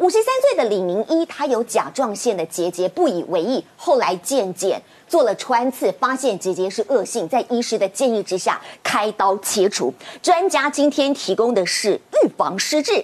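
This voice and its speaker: A woman talks at a moderate pace in a fairly high voice that swings very widely in pitch. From Taiwan. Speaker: TV health show host. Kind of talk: TV talk show hosting. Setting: TV studio. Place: studio.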